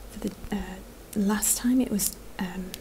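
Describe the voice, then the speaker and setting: The soft-spoken voice moves at a very slow pace over noticeable background noise. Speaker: slime video creator. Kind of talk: casual chat over an ASMR-style slime video. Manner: soft-spoken ASMR murmur. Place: home room. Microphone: earbuds.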